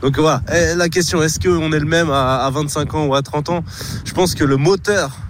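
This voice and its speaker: A man's moderately paced voice comes through with audible room echo and noticeable background noise. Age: 30s. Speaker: hurdler, athlete. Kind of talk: radio interview.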